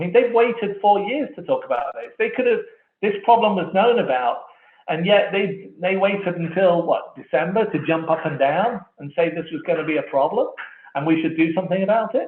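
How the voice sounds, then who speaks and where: Room echo surrounds a man with an English accent who speaks fairly quickly in a high pitch with ordinary pitch variation. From England. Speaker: wireless industry analyst. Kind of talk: conference keynote presentation. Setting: online conference. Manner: conversational; fast.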